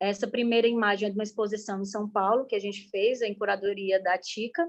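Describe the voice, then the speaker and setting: Against a quiet background, a woman talks at a fairly quick pace. Her pitch varies in an ordinary way. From Brazil, Ceará (Caucaia, near Fortaleza). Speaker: artist and guest teacher. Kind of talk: online class presentation. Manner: fast.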